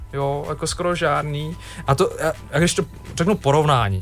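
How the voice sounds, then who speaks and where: Music plays in the background behind a man whose intonation stays fairly even. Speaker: NGO representative. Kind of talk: radio interview. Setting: radio studio.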